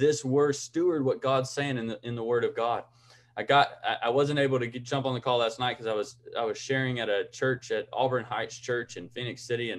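This man speaks at a fairly quick pace. His intonation stays fairly even. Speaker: online challenge host. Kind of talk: casual sermon-like talk. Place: home room. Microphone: video call.

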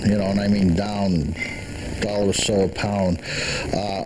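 Noticeable background noise under a male speaker. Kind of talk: interview answer. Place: shop. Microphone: handheld.

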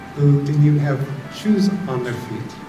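Clear music plays in the background. A man speaks with ordinary pitch variation. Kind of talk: talk to an audience. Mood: warm, smiling, reflective. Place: hall.

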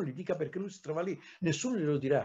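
The speaker is a man. His tone is dark and mellow. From Tuscany, Livorno; Tuscany. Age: 60s. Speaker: historian; historian lecturer. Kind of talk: lecture. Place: home room. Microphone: webcam.

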